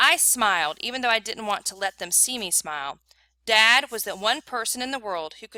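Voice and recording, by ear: The background is quiet as a speaker reads aloud in a natural voice with lively intonation.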